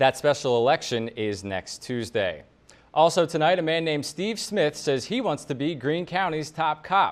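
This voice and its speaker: There is music in the background. Over it, a man speaks with lively intonation. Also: fairly high pitch for a man, moderate pace. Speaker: television news anchor. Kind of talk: TV news anchor read.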